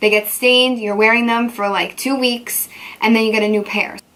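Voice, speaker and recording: A woman's fairly high, animated voice at a moderate pace, with noticeable background noise. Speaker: beauty vlogger. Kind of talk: casual chat.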